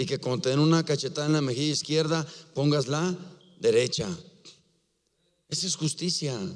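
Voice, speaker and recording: Pitched fairly high for a man, this voice moves at a moderate pace with ordinary pitch variation. Long pauses come often. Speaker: pastor. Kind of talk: sermon.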